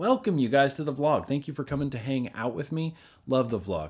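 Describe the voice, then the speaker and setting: A man with vocal fry speaks at a fairly quick pace with ordinary pitch variation over a quiet background. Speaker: vlogger. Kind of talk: casual vlog chat. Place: home room.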